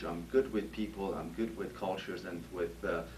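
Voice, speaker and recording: Amid audible room echo and noticeable background noise, a man speaks at a moderate pace with very wide pitch swings. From Iran. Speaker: HR director. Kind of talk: job interview. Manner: halting, many fillers.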